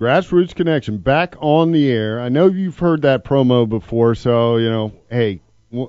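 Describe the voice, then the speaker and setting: At a fairly slow pace, a man with an ordinary speaking voice talks at medium pitch with lively intonation. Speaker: radio host. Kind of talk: talk radio.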